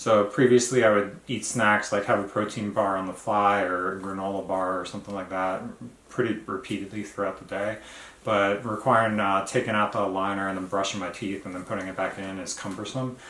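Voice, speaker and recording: Over audible room echo, a man with a fairly low pitch and a bright, sharp tone talks at a fairly quick pace with fairly even intonation. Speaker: vlogger. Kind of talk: casual video diary. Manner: halting, many fillers.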